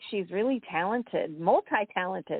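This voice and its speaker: With an American accent, a woman talks in a normal speaking voice at a moderate pace, her fairly high pitch carried by lively intonation. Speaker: podcast host and author. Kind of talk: interview. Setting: online radio show.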